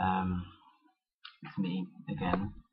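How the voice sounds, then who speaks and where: A man talks quietly. His pitch is very deep and low. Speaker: video blogger. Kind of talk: vlog monologue. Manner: quiet, low energy; halting, many fillers.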